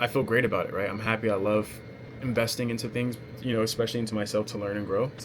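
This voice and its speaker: Against noticeable background noise, a man speaks fairly quickly at a medium pitch with fairly even intonation. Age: 20s. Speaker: sales coach and vlogger. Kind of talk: casual personal vlog monologue. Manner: hesitant, many fillers.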